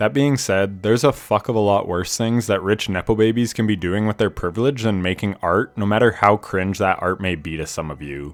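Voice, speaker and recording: A man with a plain, everyday voice speaks at a fairly quick pace with hardly any pauses, fairly low pitch and ordinary pitch variation, on a very clean recording with a silent background. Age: 30s. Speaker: gaming youtuber. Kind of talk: video game review commentary.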